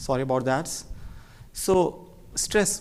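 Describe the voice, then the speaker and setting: A man speaks with an Indian accent and lively intonation. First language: Hindi. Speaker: cardiologist. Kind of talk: medical lecture. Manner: fast.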